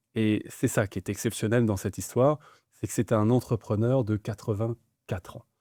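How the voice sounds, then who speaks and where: Recorded very cleanly with a silent background and a dry, close sound with no echo, a man speaks in a normal speaking voice at medium pitch, moderate pace and fairly even intonation. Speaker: interviewer, business show host. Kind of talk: interview questions.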